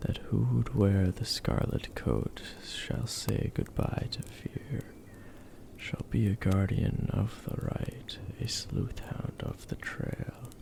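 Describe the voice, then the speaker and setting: Very slow whispering comes through noticeable background noise. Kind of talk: poetry reading; relaxing bedtime reading. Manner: soft-spoken.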